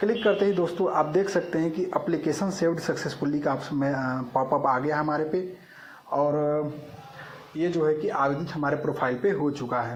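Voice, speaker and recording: Over noticeable background noise and audible room echo, a man with a fairly high voice speaks at a moderate pace with ordinary pitch variation. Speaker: job updates YouTuber. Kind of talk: screen-recorded tutorial. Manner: halting.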